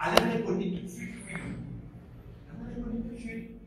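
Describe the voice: Strong room echo surrounds a man speaking at a moderate pace. His pitch is extremely high, with a fairly bright tone and ordinary pitch variation.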